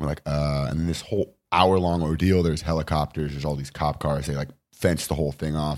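In a Californian accent, the speaker rushes along at a very fast pace with hardly any pauses and a monotone, flat intonation. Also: man, very deep, low pitch for a man. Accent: General American, Californian. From Los Angeles, Venice. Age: 20s. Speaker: actor and comedian. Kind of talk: casual chat. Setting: studio.

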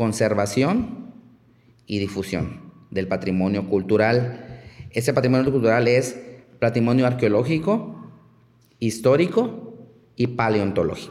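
A man at medium pitch, fairly slow pace and ordinary pitch variation, with long, frequent pauses and audible room echo. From Mexico, Chiapas. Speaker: archaeologist. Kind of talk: interview conversation. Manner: halting, many fillers.

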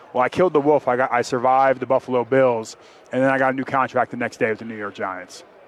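A man talks at a very fast pace with fairly even intonation. The sound is dry and close with no echo, and background noise is noticeable. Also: medium pitch for a man. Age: 30s. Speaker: NFL offensive lineman. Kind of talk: interview.

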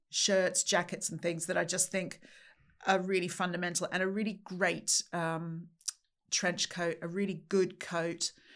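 A woman at medium pitch, fairly slow and monotone, with flat intonation. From Australia, Sydney. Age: 50s. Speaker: charity CEO, former magazine editor. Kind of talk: casual chat. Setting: studio.

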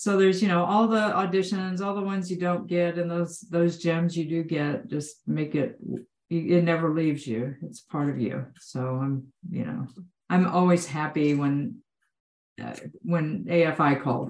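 Delivered at a fairly slow pace with ordinary pitch variation, this is a plain, everyday voice with an American accent. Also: woman, fairly low pitch for a woman. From Texas. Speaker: actor. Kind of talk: casual chat. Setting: video call.

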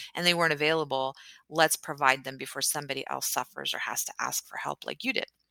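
A woman with an American accent talks at a very fast pace, her very deep, low voice bright and sharp, with vocal fry. Her intonation is fairly even, her loudness swings widely, and the sound is dry and close with no echo. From Texas. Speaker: podcaster and physician. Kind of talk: casual interview conversation.

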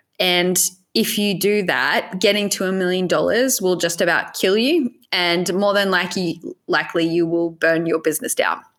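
A woman's medium-pitched voice with an Australian accent, ordinary pitch variation, very even loudness and a moderate pace. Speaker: e-commerce business coach. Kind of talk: casual interview chat.

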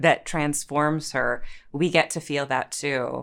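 A woman's very deep, low voice, with vocal fry and monotone, flat intonation, on a very clean recording with a silent background. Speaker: actor. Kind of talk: casual interview chat.

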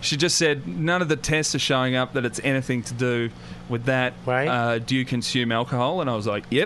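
Medium-pitched male speech, ordinary in its pitch variation, with noticeable background noise. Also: fairly quick pace. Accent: Australian. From Australia. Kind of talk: casual chat. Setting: studio. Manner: rising intonation at sentence ends.

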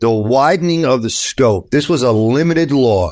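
A man with a New York accent, ordinary pitch variation, and a quiet background. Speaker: attorney. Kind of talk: interview.

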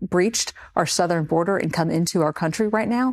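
A woman with an unremarkable speaking voice and fairly low pitch talks at a fairly quick pace. Her pitch varies in an ordinary way over a quiet background. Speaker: congresswoman. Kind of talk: political interview.

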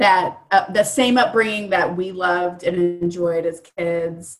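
A woman with a fairly low voice speaks in a Midwestern American accent. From Indianapolis, Indiana, US Midwest. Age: 30s. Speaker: fitness festival organizer. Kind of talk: casual interview.

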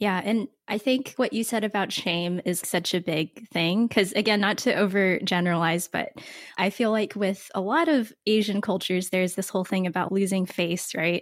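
In an American accent, a woman uses an ordinary speaking voice at medium pitch, with ordinary pitch variation, a moderate pace and hardly any pauses. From United States. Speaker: podcast host. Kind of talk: interview. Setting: video call.

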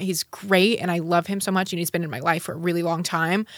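In a very clean recording with a silent background, a woman with an American accent speaks at a fairly low pitch, her tone bright and sharp and her intonation fairly even. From Utah. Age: 20s. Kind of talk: casual chat.

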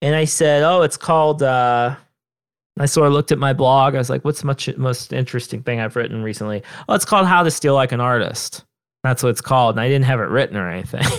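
Fairly quick and lively in intonation, the voice comes through on a very clean recording with a silent background. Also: man. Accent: American. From Southern Ohio, US. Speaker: author. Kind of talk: interview conversation.

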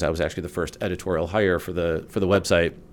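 In an American accent, a man speaks with a very deep, low pitch. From Chicago area, US Midwest. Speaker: food and drink journalist. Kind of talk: casual chat.

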